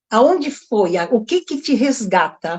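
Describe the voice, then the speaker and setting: The voice belongs to a woman and sits high. It has a dark, mellow tone. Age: 60s. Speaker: meeting participant, medical student. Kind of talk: casual group discussion.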